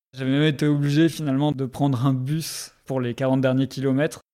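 Captured in a very clean recording with a silent background, a man speaks in a dark, mellow tone. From southwest France (Bordeaux, Basque Country). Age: 30s. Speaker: researcher, cycle traveller. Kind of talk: personal storytelling interview. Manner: hesitant, many fillers and repetitions.

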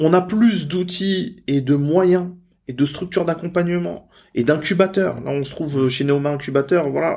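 A man's voice with ordinary pitch variation. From Normandy, France. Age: 30s. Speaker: entrepreneur and business coach. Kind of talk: interview.

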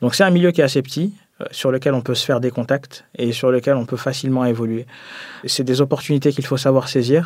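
Heard on a very clean recording with a silent background, a man speaks at a medium pitch with fairly even intonation. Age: 20s. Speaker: energy consultant. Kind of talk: testimony.

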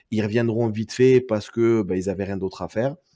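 Recorded very cleanly with a silent background and a dry, close sound with no echo, a man with a southern French accent speaks at a fairly low pitch, with a dark, mellow tone and ordinary pitch variation. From southern France, Perpignan. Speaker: card game community organizer. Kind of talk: casual chat.

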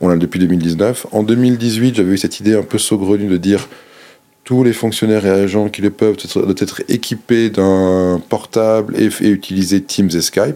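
Speaking at a moderate pace, a man has a fairly low pitch, a dark, mellow tone and fairly even intonation. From Monaco. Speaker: government digital official. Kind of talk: interview.

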